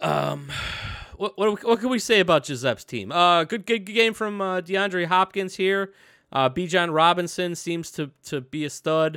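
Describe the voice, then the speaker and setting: A man with a bright, sharp tone and a high pitch speaks at a moderate pace, sounding animated with ordinary pitch variation on a very clean recording against a silent background. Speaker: fantasy football podcast host. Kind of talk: casual banter, recap show. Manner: animated, jokey, laughs often.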